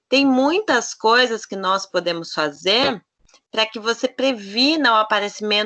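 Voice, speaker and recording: At a very slow pace, a woman speaks with a fairly high pitch, lively intonation and a bright, sharp tone. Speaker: nutritionist. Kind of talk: lecture.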